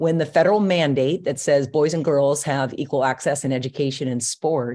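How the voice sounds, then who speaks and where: With an American accent, a woman speaks at a moderate pace in a very deep, low pitch, her dark, mellow tone showing ordinary pitch variation. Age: 60s. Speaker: retired softball coach. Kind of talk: interview podcast.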